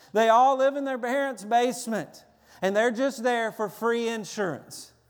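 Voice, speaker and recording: Extremely high pitch for a man, in a Tennessee accent, with ordinary pitch variation at a moderate pace in a very clean recording with a silent background. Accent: Southern US (Tennessee). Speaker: pastor. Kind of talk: sermon. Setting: church.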